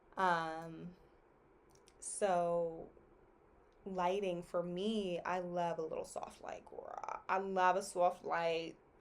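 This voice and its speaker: Pausing long and often, a woman with a fairly low pitch speaks at a very slow pace in a monotone, flat intonation. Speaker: astrology content creator. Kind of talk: casual monologue. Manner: quiet, relaxed pacing; passionate.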